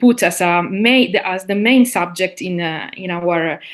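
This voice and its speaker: A woman speaks with an Italian accent. Her pace is fairly slow. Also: quiet background. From Sicily, Italy. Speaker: linguist, university lecturer. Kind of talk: interview. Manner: halting, many fillers.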